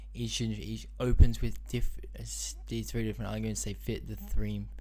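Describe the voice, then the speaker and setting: A man's very deep, low voice with a dark, mellow tone, monotone, flat intonation and a fairly quick pace, in audible room echo. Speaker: livestreamer. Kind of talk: live stream, reading task instructions aloud. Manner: fast; halting, many fillers.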